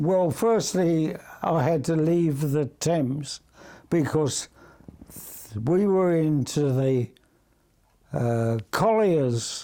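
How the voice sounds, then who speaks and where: Very slowly and with long, frequent pauses, a man with a London accent talks in a dark, mellow tone, with ordinary pitch variation and very even loudness. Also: fairly high pitch for a man. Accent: English, London area. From England. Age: 90s. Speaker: retired seaman, club founder. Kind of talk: interview. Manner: halting.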